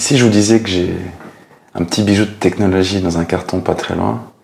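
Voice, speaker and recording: Noticeable background noise accompanies a man whose voice is very deep and low, with ordinary pitch variation. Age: 40s. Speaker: tech YouTuber. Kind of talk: channel introduction to camera. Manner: casual with frequent hesitations.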